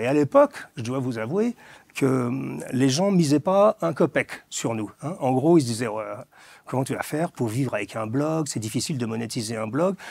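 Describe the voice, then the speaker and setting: A man with an unremarkable speaking voice talks at a moderate pace and a fairly high pitch. The sound is dry and close with no echo, and his intonation is lively. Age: 60s. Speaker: author and fashion commentator. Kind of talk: interview.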